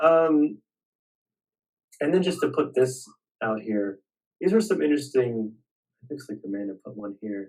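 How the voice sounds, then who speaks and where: Long, frequent pauses, big swings in loudness and very wide pitch swings. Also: man, medium pitch for a man. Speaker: reading group leader. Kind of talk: academic group discussion. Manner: slow.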